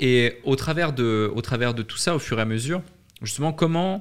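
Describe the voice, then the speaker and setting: On a very clean recording with a silent background, a man with an ordinary speaking voice talks at a moderate pace and medium pitch, his intonation lively. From French-speaking Switzerland. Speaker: podcast host. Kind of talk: interview.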